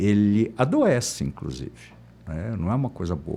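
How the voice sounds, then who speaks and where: A man is speaking. His pace is moderate. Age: 60s. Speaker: architect. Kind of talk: interview. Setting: studio.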